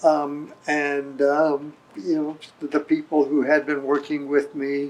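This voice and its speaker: Over noticeable background noise, a man with a fairly high pitch talks at a very slow pace in a flat monotone. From abroad, mainly Africa and South America. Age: 70s. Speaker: newspaper editor. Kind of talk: casual interview.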